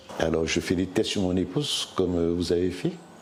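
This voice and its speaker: A man speaks fairly slowly, with noticeable noise in the background. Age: 60s. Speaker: hospital worker and former covid patient. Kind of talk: testimony. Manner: halting.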